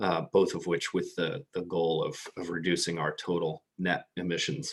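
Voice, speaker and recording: The dry, close sound with no echo carries a man speaking at a moderate pace with a North American accent. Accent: North American, non-European. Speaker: clean-tech company representative. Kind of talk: conference presentation. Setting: video call. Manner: hesitant, frequent ums and repeated words.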